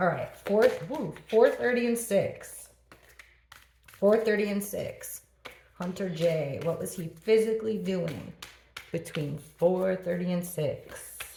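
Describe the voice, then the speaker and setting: A woman speaking at a very slow pace, with audible room echo and noticeable background noise. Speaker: tarot reader. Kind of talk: tarot reading.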